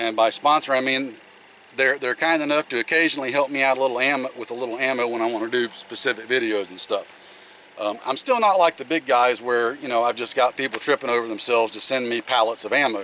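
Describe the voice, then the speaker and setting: Over light background noise, a man talks at a very fast pace with fairly even intonation in a dry sound with no echo. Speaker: channel host. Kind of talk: product review vlog. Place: open country.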